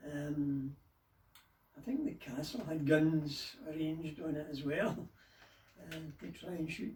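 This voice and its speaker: In a West of Scotland accent, a man talks with fairly even intonation and a fairly high pitch for a man. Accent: Scottish (West of Scotland). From Dumbarton, Scotland. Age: 80s+. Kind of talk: interview answer.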